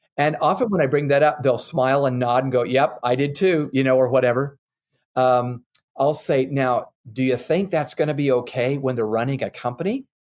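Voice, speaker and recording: In an ordinary speaking voice, a man at medium pitch speaks at a moderate pace with fairly even intonation over a quiet background. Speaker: author and leadership expert. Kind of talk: interview answer.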